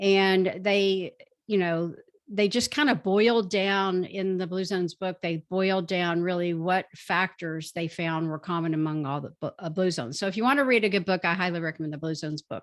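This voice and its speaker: Against a quiet background, a woman with a normal speaking voice talks at a moderate pace and medium pitch with ordinary pitch variation. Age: 60s. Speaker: physician and author. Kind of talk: interview talk on health.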